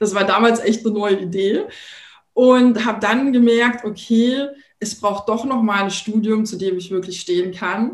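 This woman speaks at a fairly slow pace, somewhat breathy. Her intonation stays fairly even. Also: fairly high pitch for a woman. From Thuringia, eastern Germany. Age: 40s. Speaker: entrepreneur and branding coach. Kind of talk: podcast interview.

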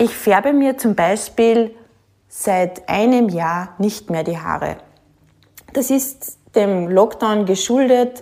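Delivery is very slow. The tone sounds dark and mellow, and the pitch varies in an ordinary way. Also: woman, fairly high pitch for a woman. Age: 40s. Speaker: podcast host, working mother and manager. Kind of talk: solo monologue podcast.

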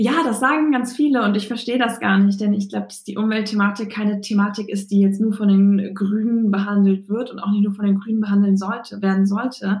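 A woman with a somewhat breathy voice keeps a fairly quick pace and fairly even intonation. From Bremen, northern Germany. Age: 20s. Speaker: politician. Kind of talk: interview.

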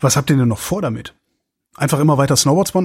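Somewhat breathy and fairly high-pitched, a man speaks at a very fast pace. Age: 50s. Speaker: podcast host. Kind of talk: interview.

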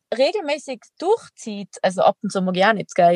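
This woman speaks with a Tyrolean accent at a fairly high pitch, in a dry, close sound with no echo. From Austria, Tyrol. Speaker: extreme athlete and entrepreneur. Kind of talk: interview conversation.

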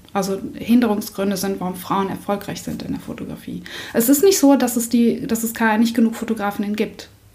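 A woman's fairly high voice, fairly quick and fairly even in intonation, over noticeable background noise. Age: 30s. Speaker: photographer. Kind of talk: interview.

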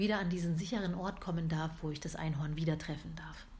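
Fairly low in pitch and somewhat breathy, a woman speaks in a monotone with flat intonation. Audible room echo surrounds her voice. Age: 30s. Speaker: podcast host, coaching trainee. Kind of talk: casual monologue. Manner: hesitant, many filler sounds.

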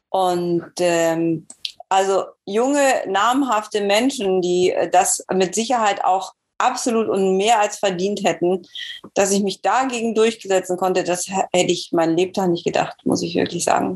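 In a normal speaking voice, a woman talks at a fairly slow pace and a medium pitch. Her pitch variation is ordinary and her loudness very even. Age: 50s. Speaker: masters marathon runner. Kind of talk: interview.

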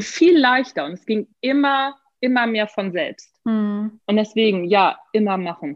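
Talking fairly slowly in a normal speaking voice, the woman has a medium pitch and lively intonation. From northern Germany. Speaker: author and management trainer. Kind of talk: casual interview. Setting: video call.

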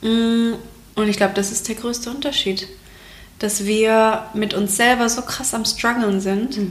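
Noticeable background noise sits behind a woman speaking very slowly at a fairly high pitch. Her intonation is flat and monotone. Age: 30s. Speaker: communication designer and Instagram creator. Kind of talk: casual chat.

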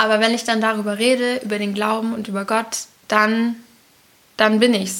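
Monotone, flat intonation from a woman. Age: 20s. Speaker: host's daughter. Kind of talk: casual interview.

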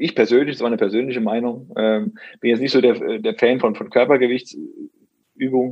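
A man with an ordinary speaking voice, medium in pitch, at a moderate pace. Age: 30s. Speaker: personal trainer and nutrition coach. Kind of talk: interview.

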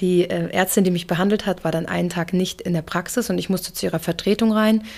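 The recording is very clean, with a silent background, as a woman speaks at a medium pitch. Her intonation stays fairly even and her pace is fairly quick. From Hamburg, Germany (moved there at age two and a half). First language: English (speaking German). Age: 30s. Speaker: photographer. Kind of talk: interview testimony.

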